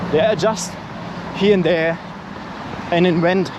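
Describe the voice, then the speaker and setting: Over noticeable background noise and audible room echo, a man speaks at a high pitch. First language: not English. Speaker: running vlogger. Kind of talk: vlog monologue while running. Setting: outdoors, running. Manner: animated.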